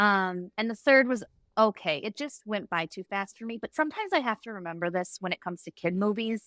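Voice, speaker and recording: In a very clean recording with a silent background, a woman with an ordinary speaking voice talks at a fairly quick pace, her pitch medium with ordinary variation, her loudness swinging widely, and the sound dry and close with no echo. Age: 30s. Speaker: podcast guest. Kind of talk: casual chat.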